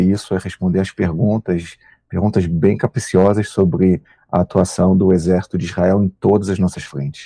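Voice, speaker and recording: Heard dry and close with no echo, a man speaks at a moderate pace in a fairly low pitch, his tone dark and mellow and his intonation fairly even. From Brazil. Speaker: military spokesman. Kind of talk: interview.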